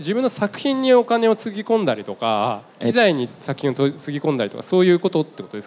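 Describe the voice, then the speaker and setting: A man talks very fast at a fairly high pitch. His pitch swings very widely. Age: 30s. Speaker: seminar MC and company head; seminar MC. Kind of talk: moderated stage talk. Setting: stage with live audience. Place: stage. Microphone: handheld.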